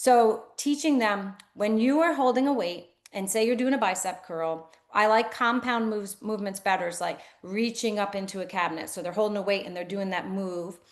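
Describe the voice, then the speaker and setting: In an animated tone, a woman with a medium pitch talks at a moderate pace with ordinary pitch variation. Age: 60s. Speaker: physical therapist, clinic owner. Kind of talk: interview.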